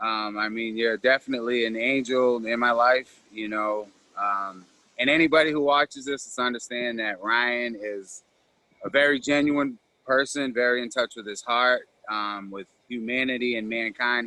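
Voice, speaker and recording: A man with an American accent speaks in a normal speaking voice at a moderate pace, medium pitch and fairly even intonation, with big swings in loudness. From Massachusetts, Cape Cod. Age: 40s. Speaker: recovering addict and author. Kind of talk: interview.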